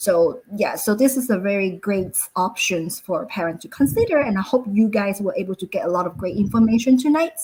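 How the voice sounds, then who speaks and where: Speaking in a Cantonese accent, a woman uses a medium pitch, lively intonation and a somewhat breathy voice at a fairly quick pace. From Hong Kong. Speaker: school founder. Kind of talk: webinar presentation. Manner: halting, many fillers.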